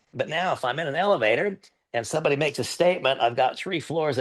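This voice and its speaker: Against a quiet background, a man talks fairly quickly in a normal speaking voice, fairly high in pitch with ordinary pitch variation. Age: 60s. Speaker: business partner giving testimonial. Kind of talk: testimony.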